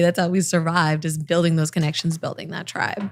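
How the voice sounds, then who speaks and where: On a very clean recording with a silent background, a woman with a fairly low pitch speaks with an American accent. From Los Angeles, California. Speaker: TV and online news host. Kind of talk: podcast interview. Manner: conversational, approachable.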